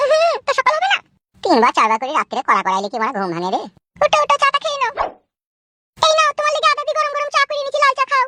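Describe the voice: A woman does a cartoonish character voice at a very fast pace. The sound is dry and close with no echo.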